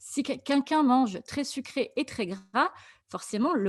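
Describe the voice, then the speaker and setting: A woman speaks at a fairly slow pace with lively intonation, in a normal speaking voice. The recording is very clean with a silent background, dry and close with no echo. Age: 40s. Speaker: nurse and keto diet coach. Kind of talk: Q&A interview.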